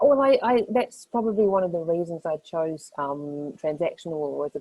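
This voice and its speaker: Lively intonation and a fairly quick pace mark this speaker with a New Zealand accent. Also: woman. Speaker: lawyer. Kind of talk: panel discussion.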